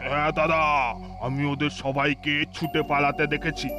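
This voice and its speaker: A man speaks in a cartoonish character voice, fairly high in pitch, at a fairly slow pace. Clear music plays in the background. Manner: gossipy, wary.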